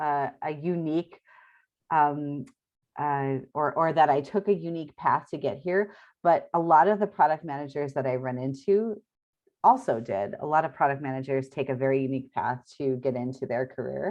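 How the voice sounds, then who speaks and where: With an American accent, the voice proceeds at a moderate tempo. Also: woman, very deep, low pitch for a woman, ordinary pitch variation. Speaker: product leader. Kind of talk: interview. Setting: video call.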